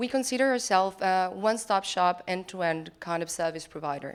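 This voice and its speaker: In an Argentine accent, a woman speaks fairly quickly at a medium pitch with ordinary pitch variation. The recording is very clean, with a silent background. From Argentina. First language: Spanish. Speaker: lawyer and web3 consultant. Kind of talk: conference talk. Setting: conference stage.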